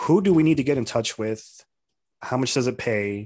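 A man's medium-pitched voice with an American accent, moderate pace and lively intonation. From Arizona, US (Tucson). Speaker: podcast co-host. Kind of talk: casual chat.

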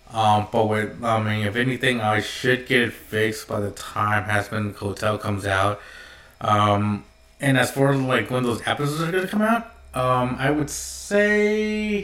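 Noticeable background noise sits behind a man talking with ordinary pitch variation. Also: medium pitch for a man. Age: 30s. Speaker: solo podcaster. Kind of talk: casual monologue. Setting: home video recording. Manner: halting, many fillers.

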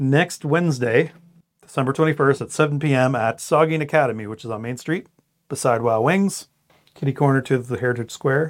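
With a normal speaking voice, a man talks at a fairly quick pace and a fairly high pitch, with ordinary pitch variation. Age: 40s. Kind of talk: casual faith discussion. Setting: studio overlooking a cathedral.

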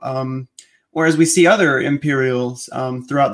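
At a moderate pace, a man uses an ordinary speaking voice with a fairly high pitch and fairly even intonation, recorded very cleanly against a silent background. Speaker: editor and podcast host. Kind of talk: interview, author commentary.

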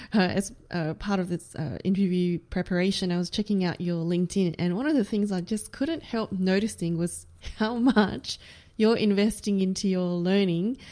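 A woman talks in an unremarkable speaking voice with fairly even intonation. The recording is very clean, with a silent background. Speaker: podcast host. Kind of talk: interview.

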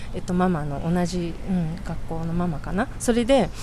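A woman's pitch swings very widely as she talks at a moderate pace, with noticeable background noise present. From Shizuoka, Japan. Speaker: civic activist. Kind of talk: interview.

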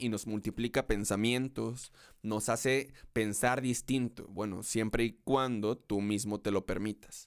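An unremarkable speaking voice with fairly even intonation. The recording is very clean, with a silent background. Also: man. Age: 20s. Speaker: podcast host and concert photographer. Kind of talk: solo podcast introduction monologue.

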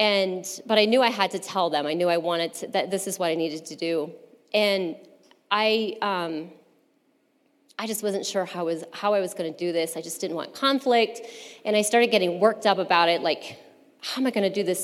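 A woman in a plain, everyday voice talks fairly quickly at a medium pitch with ordinary pitch variation. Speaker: churchgoer giving testimony. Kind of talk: testimony.

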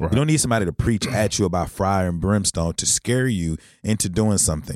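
On a very clean recording with a silent background, a man talks at a fairly quick pace. His pitch is fairly low, an ordinary speaking voice with ordinary pitch variation. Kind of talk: casual chat.

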